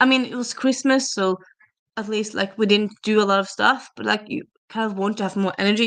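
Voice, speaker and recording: Speaking with a slight Norwegian accent, a woman keeps a fairly high pitch. Her pace is moderate and her intonation fairly even. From Norway. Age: 30s. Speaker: booktuber streamer. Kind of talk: casual livestream chat. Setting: livestream on camera. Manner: chatty, hesitant with fillers.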